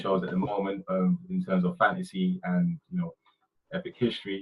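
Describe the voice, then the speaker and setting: Moving at a fairly quick pace, a man's voice makes very wide pitch swings. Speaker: brand designer presenting webinar. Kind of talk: webinar presentation. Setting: online webinar. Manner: fast.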